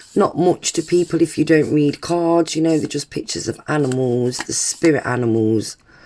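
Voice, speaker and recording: Her voice has a dark, mellow tone and a British accent. The woman speaks at a fairly slow pace with very wide pitch swings. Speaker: tarot reader. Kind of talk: live stream chat. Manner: casual, filler-heavy.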